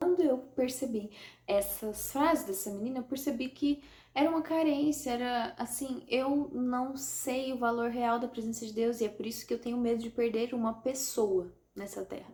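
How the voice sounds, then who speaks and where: A woman's high-pitched voice with a dark, mellow tone, ordinary pitch variation and a moderate pace. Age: 20s. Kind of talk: casual talk to camera.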